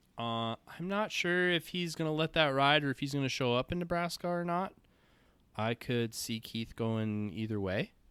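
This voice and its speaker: Using lively intonation, a man with a Minnesotan accent talks in a fairly high-pitched voice. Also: moderate pace, dry, close sound with no echo. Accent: Minnesota. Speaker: shooting sports podcast co-host. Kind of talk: casual podcast chat.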